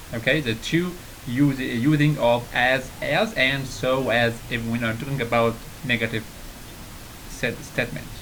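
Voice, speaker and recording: In a room with audible echo, a man talks fairly slowly at a medium pitch with fairly even intonation, pausing long and often. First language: Arabic. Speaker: English teacher on video channel. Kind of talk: tutorial. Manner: halting, many fillers and repeats.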